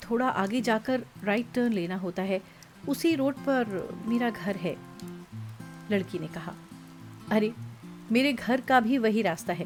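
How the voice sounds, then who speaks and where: Lively intonation carries over music playing in the background. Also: woman. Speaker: voice actor. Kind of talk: audio story narration.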